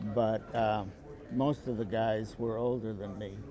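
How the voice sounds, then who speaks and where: A man's fairly low-pitched, monotone voice with flat intonation and audible room echo. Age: 80s+. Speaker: war veteran. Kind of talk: talk to a school class. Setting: classroom. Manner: halting.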